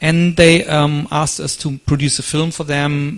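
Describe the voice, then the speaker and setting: This man speaks with a German accent. His voice sits fairly high. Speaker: conference speaker. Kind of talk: lecture.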